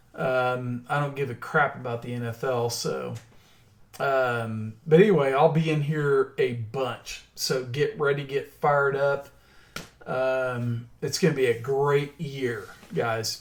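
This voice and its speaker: Speaking with a Southern accent, a man goes at a very slow pace. His pitch varies in an ordinary way. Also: medium pitch for a man. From Oklahoma. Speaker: stock trader and crypto chart analyst. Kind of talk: casual livestream chat.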